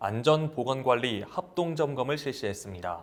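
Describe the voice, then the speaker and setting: At a moderate pace and medium pitch, the man talks with an unremarkable speaking voice. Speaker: news announcer. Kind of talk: local TV news broadcast.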